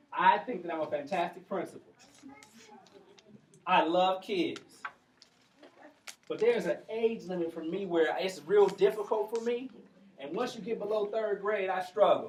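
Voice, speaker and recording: At a moderate pace, a man speaks in a high pitch with ordinary pitch variation. He pauses often and at length. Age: 40s. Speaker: commencement speaker, former school principal. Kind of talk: graduation speech. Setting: graduation ceremony with audience. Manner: animated.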